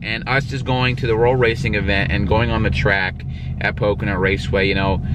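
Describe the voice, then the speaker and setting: Over loud background noise, a man speaks in a dry sound with no echo. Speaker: car vlogger. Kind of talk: casual vlog chat. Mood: mildly disappointed, candid. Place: car. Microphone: phone near.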